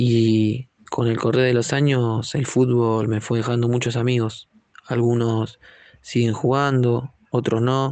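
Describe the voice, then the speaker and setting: A man speaks at a very slow pace in a medium-pitched voice. His intonation is monotone and flat, and his loudness very even. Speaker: footballer. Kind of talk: interview. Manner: hesitant, repeats words.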